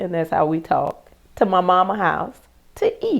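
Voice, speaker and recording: The tone is dark and mellow. The voice comes in a Lowcountry accent. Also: woman. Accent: Southern US, Lowcountry. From US South, South Carolina plantation. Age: 60s. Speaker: plantation descendant sharing memories. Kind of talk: interview storytelling. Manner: animated.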